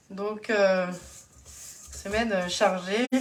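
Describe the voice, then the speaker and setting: Noticeable background noise and audible room echo around a woman talking. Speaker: home cook and kitchenware consultant doing a live demo. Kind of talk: live cooking demonstration. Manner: hesitant, many fillers.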